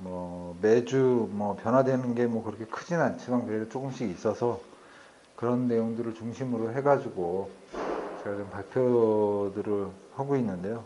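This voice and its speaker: A man with a medium-pitched voice speaks at a moderate pace with ordinary pitch variation, and the room echo is audible. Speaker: company CEO presenting at a meetup. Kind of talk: presentation. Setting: meeting room with audience. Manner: trying to speak louder.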